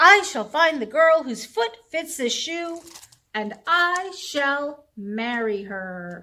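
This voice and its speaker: Using a put-on character voice, a woman talks at a high pitch and a very slow pace. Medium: read story.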